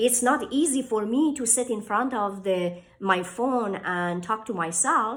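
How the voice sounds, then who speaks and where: The speech is fairly slow, with lively intonation. There are hardly any pauses. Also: woman, fairly high pitch for a woman. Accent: Persian. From Iran. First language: Persian. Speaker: author and inspirational speaker. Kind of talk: motivational talk to camera.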